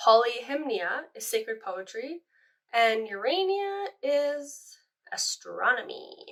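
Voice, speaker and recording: A woman with a French accent talks very slowly in a high pitch, her voice making very wide pitch swings. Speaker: art history vlogger. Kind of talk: casual chat. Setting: home, doing nails on camera. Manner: chatty, informal.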